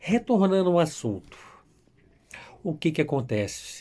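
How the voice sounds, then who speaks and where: A man speaks with lively intonation. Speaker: YouTuber telling his immigration story. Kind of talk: casual vlog storytelling.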